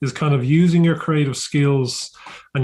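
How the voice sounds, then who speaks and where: Somewhat breathy and fairly high-pitched, a man speaks at a fairly quick pace in a monotone, flat way. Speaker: podcast host, workshop business owner. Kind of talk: podcast intro and interview questions.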